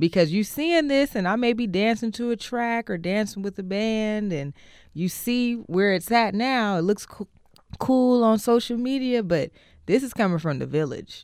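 In a very clean recording with a silent background, a woman with an American accent and an unremarkable speaking voice talks at a moderate pace, her fairly high pitch carrying lively intonation. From Oakland, California. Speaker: singer-songwriter and dancer. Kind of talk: casual interview. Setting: studio.

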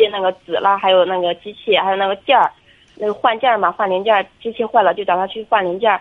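A woman speaks at a fairly quick pace. She has a plain, everyday voice. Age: 20s. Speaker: caller seeking marriage advice. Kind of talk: phone-in advice call.

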